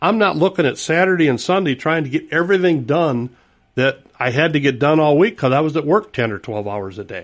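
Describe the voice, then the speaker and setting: Against a quiet background, a man with an ordinary speaking voice talks at a fairly high pitch with lively intonation. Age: 60s. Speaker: retiree and volunteer. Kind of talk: radio interview. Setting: studio.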